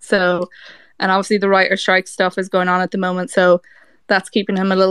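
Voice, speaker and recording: A woman speaks at medium pitch. The sound is dry and close with no echo, in a very clean recording with a silent background. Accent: Irish. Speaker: fan campaign organizer. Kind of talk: casual chat. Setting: audio chat room.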